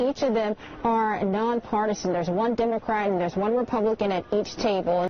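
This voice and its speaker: Noticeable background noise sits under a woman speaking fairly quickly at a fairly high pitch, her intonation fairly even and her loudness very even. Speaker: TV news reporter. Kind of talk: TV news report.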